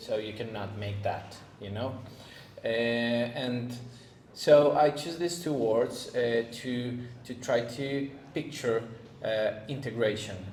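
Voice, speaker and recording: A man at medium pitch with a non-native accent, ordinary pitch variation and a very slow pace, long, frequent pauses, audible room echo and noticeable background noise. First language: not English. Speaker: spiritual content creator. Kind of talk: podcast interview. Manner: halting, many fillers and repeats.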